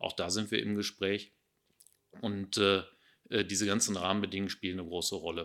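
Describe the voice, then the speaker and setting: In a very clean recording with a silent background, a man with a fairly low pitch talks fairly quickly in a flat monotone, leaving long, frequent pauses. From Ruhr area, Germany. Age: 50s. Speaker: district administrator, politician. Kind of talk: interview.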